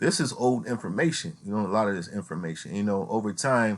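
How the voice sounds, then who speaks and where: A man with a plain, everyday voice talks at a moderate pace, his fairly low pitch rising and falling in lively intonation over a quiet background. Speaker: youtuber explaining legal theory. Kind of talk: informal tutorial reading from a document. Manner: casual, repeats filler phrases.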